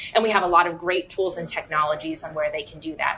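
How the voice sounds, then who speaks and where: A woman talks with a fairly low pitch and ordinary pitch variation. Music plays in the background. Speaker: marketing director. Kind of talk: casual interview. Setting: live at a store.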